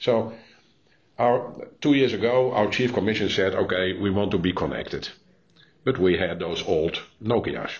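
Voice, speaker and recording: A man with a Dutch accent speaks at a moderate pace in a fairly low pitch, with ordinary pitch variation and long, frequent pauses. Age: 60s. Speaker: police innovation executive. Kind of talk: interview. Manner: halting.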